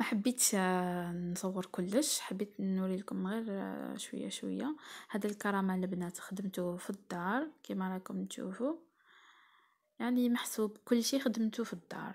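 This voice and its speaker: A somewhat breathy woman's voice with an Algerian accent, medium pitch, ordinary pitch variation and a fairly slow pace, in a very clean recording with a silent background. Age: 20s. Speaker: cooking and lifestyle vlogger. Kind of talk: vlog narration.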